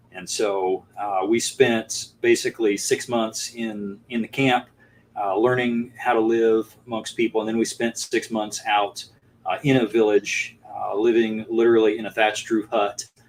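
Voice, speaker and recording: Over noticeable background noise, a man with an American accent and a medium pitch speaks at a fairly slow pace with monotone, flat intonation. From East Texas, raised abroad as missionary kid. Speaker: firearms trainer and farmer. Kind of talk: interview. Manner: halting, many fillers.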